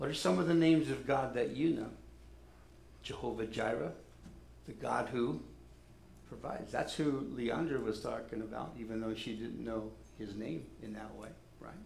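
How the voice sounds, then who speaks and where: Over noticeable background noise, a man at medium pitch talks at a moderate pace with lively intonation, big swings in loudness, and long, frequent pauses. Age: 60s. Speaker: pastor. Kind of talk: sermon. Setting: church.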